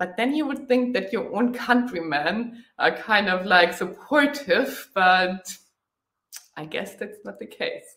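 A very slow delivery in a German accent, with audible room echo. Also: woman. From Germany. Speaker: motorcycle travel vlogger. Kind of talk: live stream Q&A. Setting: live online video stream. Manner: frequent filler hesitations. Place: home room.

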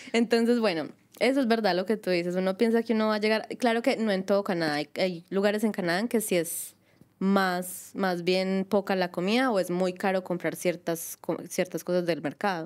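A woman with an ordinary speaking voice, medium pitch, ordinary pitch variation and a moderate pace, over a quiet background. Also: very even loudness. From Colombia. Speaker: podcast co-host, migrant; podcast co-host. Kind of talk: casual chat. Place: home room.

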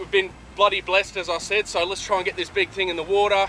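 A man uses a raised, projected voice. The sound is dry with no echo, and there is light background noise. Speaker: vlogger host. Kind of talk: casual vlog chat. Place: beach.

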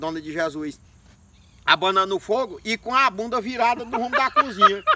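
Against light background noise, a man with a high pitch and a bright, sharp tone uses a raised, projected voice, with lively intonation at a moderate pace. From Maranhão, Brazilian Northeast. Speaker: storyteller comedian. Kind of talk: comic storytelling. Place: open country. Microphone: camera far.

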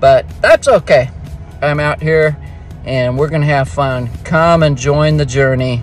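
With faint music in the background and a dry sound with no echo, a man speaks at a fairly slow pace with fairly even intonation. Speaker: mountain biker vlogger. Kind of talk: casual vlog chat. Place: car. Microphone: phone near.

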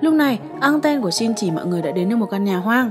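A woman's lively intonation at a very fast pace with music in the background. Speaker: recap narrator. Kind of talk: storytelling narration.

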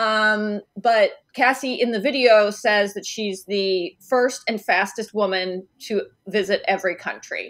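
A woman's plain, everyday voice, fairly high in pitch, with an American accent, ordinary pitch variation and a fairly slow pace against a quiet background. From Michigan, near Detroit; Michigan. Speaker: lawyer at a travel consumer advocacy group. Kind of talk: interview. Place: home room.

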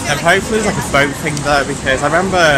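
A man talks at a very fast pace with ordinary pitch variation. The sound is dry with no echo, and crowd noise is in the background. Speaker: vlogger. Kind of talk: casual vlog chat. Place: street. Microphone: phone near.

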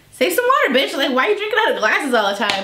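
This is a woman speaking. Audible room echo surrounds her voice. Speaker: vlogger. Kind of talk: casual vlog chat. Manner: tipsy, loose, slightly slurred talk. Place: home room.

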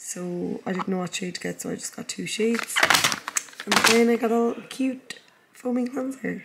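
Speaking with an Irish accent, a woman holds a fairly high pitch and a moderate pace. Her intonation stays fairly even, and background noise is noticeable. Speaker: vlogger and fitness coach. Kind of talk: casual vlog.

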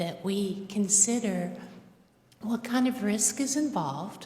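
A woman speaks with audible room echo and noticeable background noise in the recording. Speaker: public commenter. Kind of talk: public comment at county meeting. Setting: county commission board room. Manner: hesitant with fillers.

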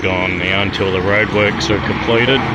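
Loud background noise plays under a man talking at a fairly slow pace. The sound is dry with no echo. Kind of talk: casual vlog chat. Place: cafe. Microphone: phone near.

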